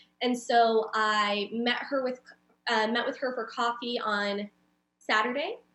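A woman speaks fairly slowly at a fairly high pitch in a monotone, flat intonation. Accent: Californian. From Southern California (San Diego area). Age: 30s. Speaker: community builder and creative. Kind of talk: casual interview conversation.

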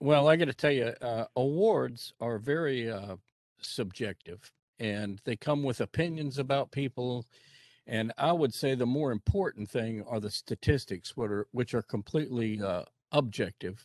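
A plain, everyday voice from a man at medium pitch, with ordinary pitch variation, a moderate pace and a quiet background. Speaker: sports show guest. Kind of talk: casual sports talk show.

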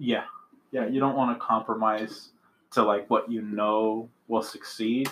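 Against a quiet background, a man speaks at a medium pitch. His intonation is monotone and flat. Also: fairly slow pace. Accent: American. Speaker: comedian. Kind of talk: casual chat. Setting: home.

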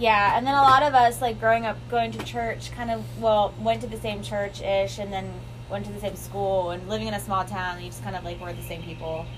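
A woman talks at a fairly quick pace with big swings in loudness, and audible room echo surrounds her voice. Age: 20s. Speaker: podcast host. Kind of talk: casual chat.

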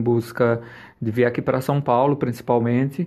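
The background is quiet as a man talks at a medium pitch. He speaks in a monotone, flat intonation. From Brazilian Northeast, Pernambuco (Santa Cruz do Capibaribe). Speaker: fashion designer and fashion teacher. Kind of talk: short video interview presenting his collection.

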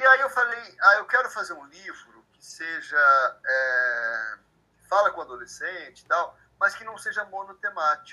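A man's raised, projected voice, high-pitched, bright and sharp in tone, at a fairly slow pace, with very wide pitch swings and big swings in loudness. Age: 50s. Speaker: author of young adult fiction. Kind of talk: interview. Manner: halting, many repetitions.

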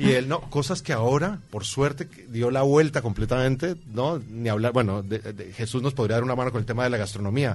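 Somewhat breathy and at a medium pitch, a man talks at a fairly quick pace with hardly any pauses. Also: ordinary pitch variation. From Colombia. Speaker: guest, immigrant. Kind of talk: casual chat. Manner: animated.

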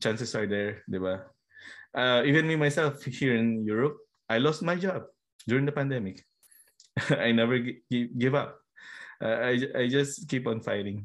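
A man with a Filipino accent speaks with ordinary pitch variation and long, frequent pauses. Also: medium pitch for a man, moderate pace. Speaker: podcast host. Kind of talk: casual interview chat. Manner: halting, code-switching Taglish with fillers.

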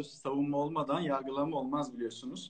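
The speaker is a man. His pitch sits fairly high. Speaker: lawyer. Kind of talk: interview.

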